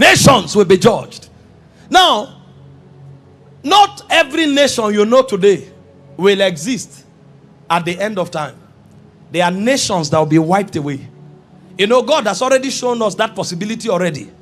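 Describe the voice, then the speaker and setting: Music plays behind a man's high voice with very wide pitch swings. He keeps a moderate pace, with long, frequent pauses. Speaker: preacher. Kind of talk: sermon.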